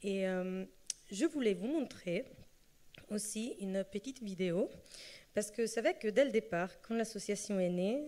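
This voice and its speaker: In a slight Italian accent, a woman speaks at medium pitch and a fairly slow pace, her tone dark and mellow. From Italy. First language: Italian (speaking French). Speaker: association speaker on early childhood languages. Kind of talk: conference talk. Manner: hesitant, many fillers.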